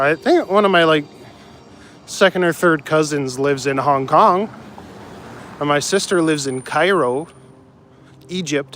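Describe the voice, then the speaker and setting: With a Canadian accent, a man of fairly high pitch talks at a moderate pace, using ordinary pitch variation and long, frequent pauses. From Canada, northern Ontario (North Bay). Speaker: live streamer. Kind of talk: casual chat. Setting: outdoors.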